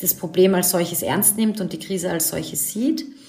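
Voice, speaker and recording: This woman has a plain, everyday voice, pitched in the middle range with fairly even intonation. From Austria, Vienna. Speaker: fashion designer and author. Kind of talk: interview.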